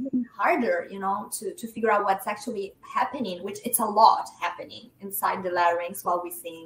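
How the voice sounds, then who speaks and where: Speaking fairly quickly with hardly any pauses, a woman with an Italian accent uses ordinary pitch variation over noticeable background noise. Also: medium pitch for a woman, big swings in loudness. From L'Aquila, Italy. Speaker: soprano, voice teacher. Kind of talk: interview answer. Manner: casual, conversational.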